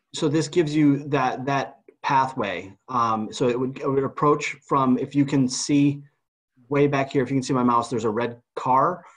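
A man is speaking. His pace is moderate, and the background is quiet. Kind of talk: meeting presentation. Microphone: video call.

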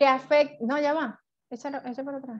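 A woman speaks at a moderate pace, and the background is quiet. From Venezuela. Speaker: network marketing distributor. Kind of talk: product training presentation. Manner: halting, many fillers. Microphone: video call.

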